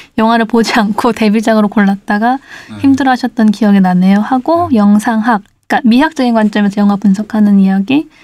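At a very fast pace, a woman speaks with a fairly high pitch, a dark, mellow tone, a somewhat breathy quality and ordinary pitch variation. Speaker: podcast host.

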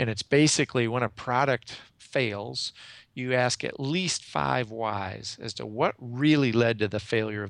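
A man with an ordinary speaking voice speaks at medium pitch with ordinary pitch variation against a quiet background. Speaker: executive coach. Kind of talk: interview.

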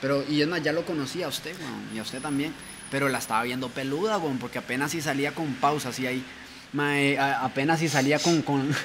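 A man talking at a fairly quick pace with fairly even intonation, amid noticeable background noise and audible room echo. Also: fairly high pitch for a man. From Costa Rica, Pacayas, Cartago. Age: 20s. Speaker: rapper. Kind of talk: casual chat.

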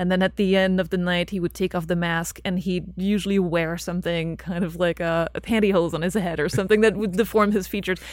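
A woman talks at a very fast pace. Her medium pitch stays monotone, with flat intonation. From French-speaking Belgium. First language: French. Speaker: filmmaker and author. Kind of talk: interview.

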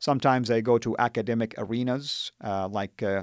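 With an Arabic accent, a man speaks at medium pitch and a moderate pace with ordinary pitch variation. The very clean recording has a silent background and a dry, close sound with no echo. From Saudi Arabia (Jeddah). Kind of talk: interview testimony. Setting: studio.

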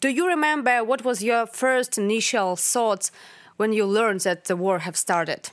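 On a very clean recording with a silent background, a woman with a Ukrainian accent speaks at a moderate pace in a fairly high voice with lively intonation. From Ukraine. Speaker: podcast host and intern. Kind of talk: podcast interview. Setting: studio.

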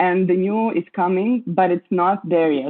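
A woman with a Croatian accent, her pitch fairly low, ordinary pitch variation, a fairly slow pace. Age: 20s. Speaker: curator, writer. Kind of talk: interview. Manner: halting.

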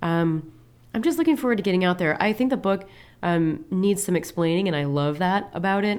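In a normal speaking voice, a woman with an American accent talks at a fairly quick pace and medium pitch, her intonation lively and her loudness very even, on a very clean recording with a silent background. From Peoria, Illinois (US Midwest). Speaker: ice cream maker and cookbook author. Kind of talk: casual interview.

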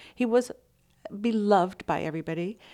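A woman with an ordinary speaking voice, an American accent and medium pitch at a fairly quick pace, on a very clean recording with a silent background. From Texas (Austin). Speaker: photojournalist. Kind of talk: interview.

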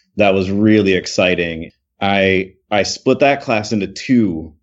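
An unremarkable speaking voice from a man, fairly low in pitch, with fairly even intonation and a fairly slow pace. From Michigan. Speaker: education professor and author. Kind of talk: podcast interview.

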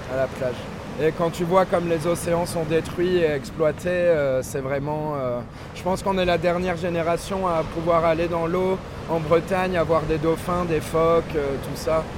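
A man with a high pitch speaks at a fairly slow pace with fairly even intonation. There is noticeable background noise. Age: 20s. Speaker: surfer. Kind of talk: casual chat. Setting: outdoors.

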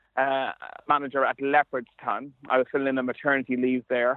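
In an Ulster border accent, a man speaks fairly quickly at a fairly high pitch. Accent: Irish, Ulster border. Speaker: sports journalist and commentator. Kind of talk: interview. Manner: halting, repeats words.

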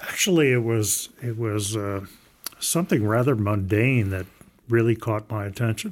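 A man with an American accent speaks at a moderate pace. He has an ordinary speaking voice, medium pitch, and ordinary pitch variation. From US South, Southern Maryland. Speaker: engineering professor. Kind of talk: interview.

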